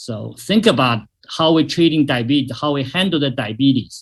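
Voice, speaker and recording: The man's voice is fairly high-pitched and somewhat breathy. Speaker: doctor giving a health presentation. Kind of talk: webinar presentation. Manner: hesitant, many fillers.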